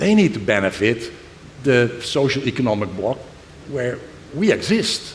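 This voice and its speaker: A man's pitch swings very widely while noticeable background noise and audible room echo fill the clip. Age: 60s. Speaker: semiconductor executive. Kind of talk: panel discussion. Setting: stage with audience.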